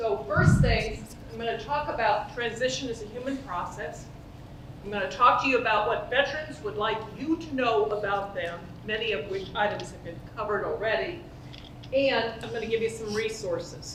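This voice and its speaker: A woman with a fairly high voice speaks at a moderate pace, her loudness swinging widely. The room echoes audibly, and background noise is noticeable. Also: ordinary pitch variation. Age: 70s. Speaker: organizational psychologist, conference speaker. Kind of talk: conference talk. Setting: stage with audience, conference.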